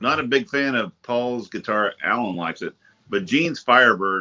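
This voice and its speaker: Using a plain, everyday voice, a man at medium pitch speaks at a moderate pace with big swings in loudness. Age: 50s. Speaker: panelist. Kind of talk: casual chat.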